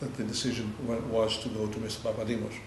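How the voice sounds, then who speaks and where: A man with a Greek accent, medium pitch and monotone, flat intonation at a fairly quick pace, amid noticeable background noise. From Greece. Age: 60s. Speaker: EU ombudsman. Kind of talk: interview answer.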